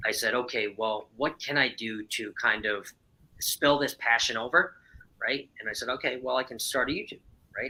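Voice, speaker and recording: An American accent from a man with an ordinary speaking voice, medium pitch, ordinary pitch variation and a fairly quick pace. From New York, Long Island. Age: 30s. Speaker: cruise vlogger. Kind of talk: casual chat.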